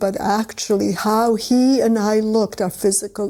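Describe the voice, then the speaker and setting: A woman speaks with a Polish accent and a dark, mellow tone. Her pace is fairly slow. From Poland. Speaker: Holocaust survivor. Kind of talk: personal testimony.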